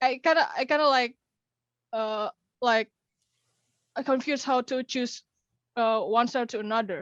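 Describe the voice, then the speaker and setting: In a dry, close sound with no echo and a quiet background, a woman with a high voice and an Indonesian accent speaks at a moderate pace with long, frequent pauses and ordinary pitch variation. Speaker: young animator. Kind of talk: question to host. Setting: video call. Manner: halting.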